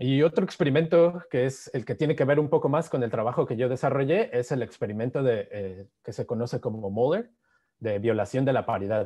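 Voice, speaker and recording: Lively intonation carries a Mexican accent over a quiet background. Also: man, fairly quick pace. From Mexico. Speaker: physicist giving a seminar; presenter. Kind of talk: lecture. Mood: happy, warm greetings. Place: home room. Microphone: video call.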